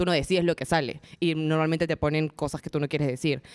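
Dry and close with no echo, a woman with an unremarkable speaking voice talks at a fairly quick pace and a fairly low pitch. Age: 20s. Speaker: booktuber and TV presenter. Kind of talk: interview before a live audience. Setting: event space with live audience.

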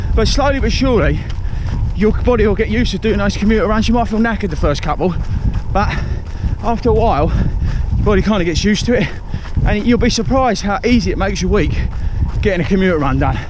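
With noticeable background noise but a dry sound with no echo, a man talks very fast at very even loudness. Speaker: running vlogger. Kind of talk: casual vlog chat, tips. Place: waterside. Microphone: phone near.

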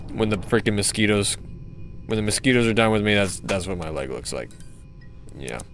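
With music in the background, a man speaks at a fairly low pitch. His intonation is lively, broken by long, frequent pauses. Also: fairly quick pace. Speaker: gaming YouTuber. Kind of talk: gameplay commentary. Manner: animated.

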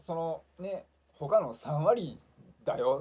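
A man talks in a somewhat breathy voice that swings very widely in pitch. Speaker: leukemia patient YouTuber. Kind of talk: monologue video blog, casual. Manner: friendly, explanatory, fillers. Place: home room. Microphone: phone near.

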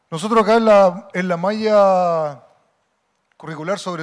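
A man talks at a high pitch. The background is quiet. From Chile. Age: 50s. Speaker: football coaching instructor, former player; football coaching instructor. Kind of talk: lecture. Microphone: handheld.

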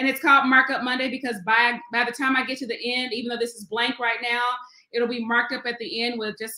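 Against a quiet background, a woman talks in a high pitch with fairly even intonation. Some room echo can be heard. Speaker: Sunday school teacher. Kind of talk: livestream Bible study talk. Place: home room. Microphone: webcam.

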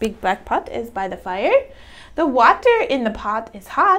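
Fairly high-pitched woman's voice with a fairly bright tone, big pitch swings and a fairly slow pace.

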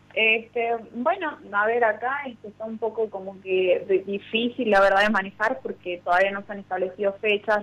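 A plain, everyday voice from a woman, fairly high in pitch with ordinary variation, moderate pace, big swings in loudness. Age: 20s. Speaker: provincial legislator. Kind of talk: radio interview.

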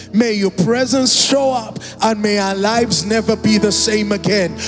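Over clear background music, a man talks fairly slowly in a high pitch with fairly even intonation. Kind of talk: prayer. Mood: fervent, emotional prayer. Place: church. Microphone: handheld.

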